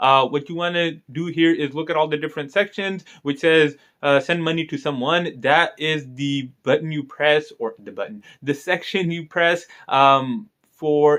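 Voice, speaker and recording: At a moderate pace, a man with a normal speaking voice and a fairly high pitch talks with ordinary pitch variation. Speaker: video tutorial creator. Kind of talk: app tutorial. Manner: casual, with fillers.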